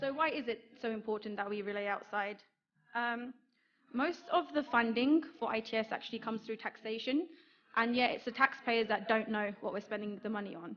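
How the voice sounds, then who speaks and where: Someone with a British accent talks at a fairly quick pace. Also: woman, fairly high pitch for a woman, ordinary pitch variation. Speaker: marketing executive, conference speaker. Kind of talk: conference talk. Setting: stage with audience. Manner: hesitant, many fillers.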